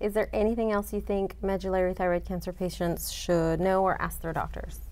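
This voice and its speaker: The speaker talks at a moderate pace. Music plays in the background. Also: woman. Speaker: interviewer. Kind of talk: interview. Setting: conference. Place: studio. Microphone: lapel.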